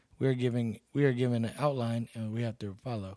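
A medium-pitched man speaks in a dark, mellow tone with an American accent. His pace is fairly quick. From Texas, Seguin. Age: 30s. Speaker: bouncer and MMA fighter. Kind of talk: casual interview.

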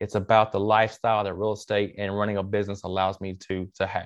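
Very fast delivery from a man with a fairly low pitch, over a quiet background. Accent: Southern US. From Mississippi, US South. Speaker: real estate investor and coach, military veteran. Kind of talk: interview.

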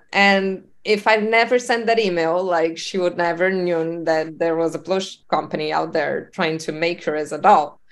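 A woman's fairly low voice in a Spanish accent, moderate pace, hardly any pauses, ordinary pitch variation. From Uruguay. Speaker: entrepreneur. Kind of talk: interview.

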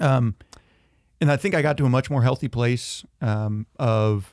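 A man's dark, mellow tone with a Southern US accent, dry and close with no echo, on a very clean recording with a silent background. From US South (Georgia and northeast Tennessee). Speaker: school administrator, recent convert. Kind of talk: faith testimony in casual interview.

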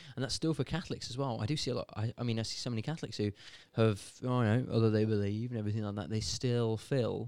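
Speaking very fast, a man has a British accent. His medium-pitched voice has a dark, mellow tone. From Britain. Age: young. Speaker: podcast co-host. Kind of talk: casual chat.

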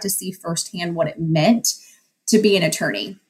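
A somewhat breathy woman with a Texan accent, a fairly quick pace and ordinary pitch variation. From West Texas. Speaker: judge. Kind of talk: interview.

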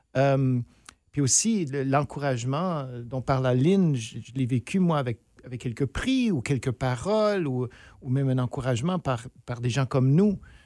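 A man with a medium-pitched voice and a dark, mellow tone speaks at a fairly slow pace with ordinary pitch variation. The recording is very clean and dry, with a close sound, no echo and a silent background. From northern Ontario, near Sudbury. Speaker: theatre director and professor. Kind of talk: casual interview.

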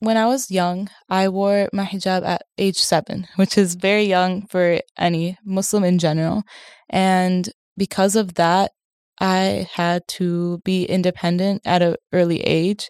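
A woman's medium-pitched voice at a fairly slow pace, monotone and flat, with very even loudness, dry and close with no echo, in a very clean recording with a silent background. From US, Syrian parents. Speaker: university student. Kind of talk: interview.

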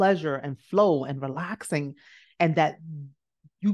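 A woman with a New York accent speaks in an animated tone. Her pitch swings very widely over a quiet background. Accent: New York American. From US, South Bronx, New York; born in Nigeria. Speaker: business coach. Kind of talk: motivational talk.

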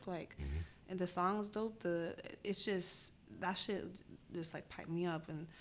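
With an American accent, a woman has a plain, everyday voice, a fairly low pitch and fairly even intonation. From Spokane, Washington, US. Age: 20s. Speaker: photographer and creative director. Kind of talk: casual interview.

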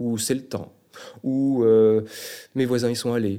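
Dark, mellow tone in a man's voice of medium pitch. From Brittany, France. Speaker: travel advisor. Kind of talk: interview.

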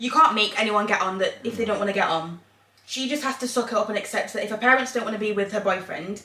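A woman speaks very fast at a medium pitch over noticeable background noise. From England. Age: 30s. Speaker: podcast co-host. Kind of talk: casual chat.

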